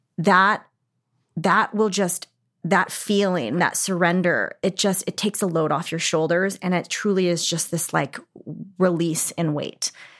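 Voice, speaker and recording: In a General American accent, a woman with a fairly low pitch talks at a fairly slow pace with fairly even intonation, a normal speaking voice, on a very clean recording with a silent background. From Arizona. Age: 40s. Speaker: fitness and business mentor. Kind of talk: casual interview chat.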